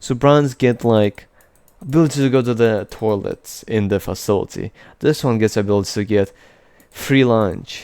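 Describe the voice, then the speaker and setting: On a very clean recording with a silent background, a man with a dark, mellow tone speaks at a moderate pace in a medium pitch with ordinary pitch variation. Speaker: programming tutor. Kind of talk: tutorial. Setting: screen recording with drawing app. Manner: casual, hesitant with many fillers.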